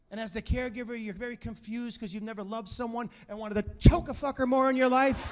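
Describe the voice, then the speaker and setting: A man's extremely high-pitched voice at a very fast pace, fairly even in intonation but with big swings in loudness, over noticeable background noise. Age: 50s. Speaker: stand-up comedian. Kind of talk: stand-up comedy set.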